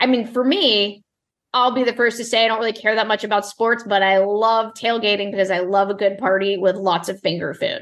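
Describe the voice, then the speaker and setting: Against a quiet background, a woman talks with a slight Southern accent. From US South (born Mississippi). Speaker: barbecue recipe developer. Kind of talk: interview.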